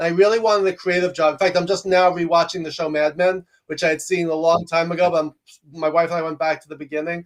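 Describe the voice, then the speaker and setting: A man with an American accent speaks very fast and loud at a high pitch. His intonation is monotone and flat. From New York. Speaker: executive coach and professor. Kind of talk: interview conversation.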